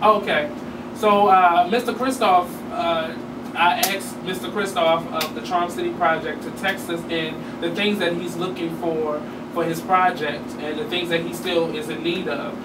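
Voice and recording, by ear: Against clear background noise, a man with a fairly high pitch talks at a fairly slow pace with few pauses. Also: fairly even intonation.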